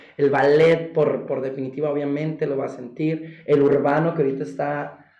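Audible room echo surrounds a man talking at a moderate pace. His pitch sits fairly high, delivered in a flat monotone. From Golfo de Santa Clara, Sonora, Mexico. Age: 20s. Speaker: contemporary dancer. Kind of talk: interview conversation. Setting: studio with video cameras.

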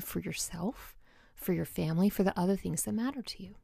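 A woman's somewhat breathy voice, very clean recording and silent background. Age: 40s. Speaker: veterinarian and coach podcast host. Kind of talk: solo podcast monologue.

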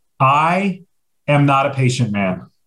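A man speaks at medium pitch in an animated tone. His voice is somewhat breathy. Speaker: podcast host. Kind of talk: casual banter. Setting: video call. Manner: animated, joking.

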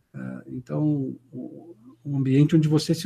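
A somewhat breathy man at a moderate pace, with a dry, close sound and no echo. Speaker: company founder and CEO. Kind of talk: interview. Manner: halting, many repetitions and fillers.

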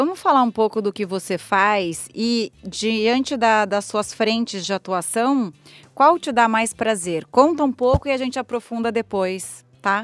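A woman speaks in a normal speaking voice at a fairly high pitch, with ordinary pitch variation and a fairly slow pace. The sound is dry and close, with no echo. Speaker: podcast host. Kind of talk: interview; scripted intro and outro.

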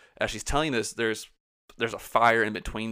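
A man speaks at a very fast pace in a bright, sharp tone with a fairly low pitch and vocal fry. The recording is very clean, with a silent background. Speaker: podcast co-host. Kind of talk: casual chat.

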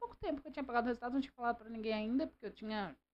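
A woman speaks with ordinary pitch variation. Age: 40s. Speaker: businesswoman, host's mother. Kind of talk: casual interview.

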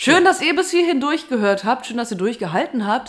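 Her pitch swinging very widely, a woman speaks at a fairly quick pace in a very clean recording with a silent background. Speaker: podcast host and radio presenter. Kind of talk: casual chat.

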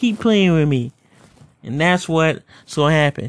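A man's plain, everyday voice, fairly high in pitch, with ordinary pitch variation at a moderate pace. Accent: American. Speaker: podcast host and pro wrestler. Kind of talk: solo podcast monologue, rant. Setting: home recording. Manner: angry, aggressive, threatening rant with sighs and profanity.

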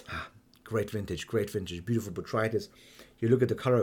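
At a fairly quick pace, a man speaks in a dark, mellow tone at a medium pitch. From Germany and Hungary. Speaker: wine educator. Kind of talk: solo wine tasting monologue. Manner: halting, many fillers.

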